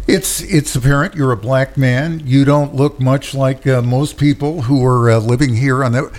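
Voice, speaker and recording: A man at medium pitch talks at a moderate pace with hardly any pauses and very even loudness, with noticeable background noise behind him. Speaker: radio host. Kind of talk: radio interview. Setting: radio studio.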